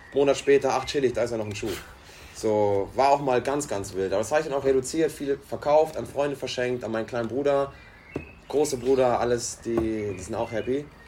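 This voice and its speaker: Over noticeable background noise, the speech runs at a fairly quick pace with ordinary pitch variation. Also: man, medium pitch for a man. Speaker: podcast co-host, restaurant worker. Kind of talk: casual chat.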